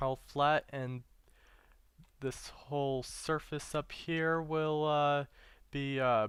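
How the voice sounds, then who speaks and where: Over a very clean recording with a silent background, a man speaks very slowly in a flat monotone, leaving long, frequent pauses. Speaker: gaming video creator. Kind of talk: gameplay commentary. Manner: halting, many fillers and repetitions.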